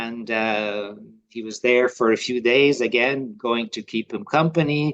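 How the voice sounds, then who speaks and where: In a Dublin accent, a man talks at a fairly slow pace. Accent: Irish (Dublin). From Ireland, Dublin. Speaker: lay religious community member. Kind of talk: personal testimony interview. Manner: halting, many fillers.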